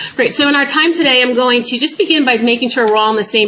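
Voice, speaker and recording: Through noticeable background noise and audible room echo, a woman with an American accent talks at a very fast pace with lively intonation. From New York. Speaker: public health professor. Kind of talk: lecture.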